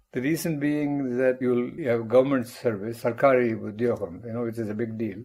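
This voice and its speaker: A man speaks at a fairly quick pace with hardly any pauses. His tone is dark and mellow. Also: medium pitch for a man, ordinary pitch variation. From India, Tamil Nadu (rural). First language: Tamil. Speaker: mathematics professor. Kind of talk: interview, life story.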